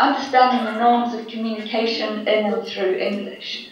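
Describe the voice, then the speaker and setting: High-pitched female voice amid audible room echo and noticeable background noise. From New Zealand. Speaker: academic researcher. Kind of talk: online seminar presentation. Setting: online seminar.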